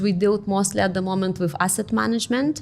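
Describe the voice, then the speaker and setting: A woman speaks with a Lithuanian accent at a medium pitch and with ordinary pitch variation. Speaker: real estate company director. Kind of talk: interview.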